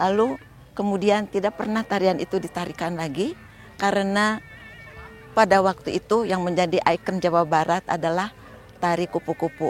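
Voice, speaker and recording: Music plays in the background. A woman speaks at a moderate pace with fairly even intonation. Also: medium pitch for a woman. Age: 70s. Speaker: dancer and choreographer. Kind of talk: interview testimony. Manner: halting with hesitations.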